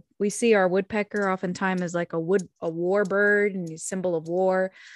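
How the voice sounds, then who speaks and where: In a dry, close recording with no echo and a quiet background, a woman with an American accent speaks at a medium pitch and moderate pace, her intonation monotone and flat. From Oklahoma. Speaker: podcast co-host. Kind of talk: casual chat.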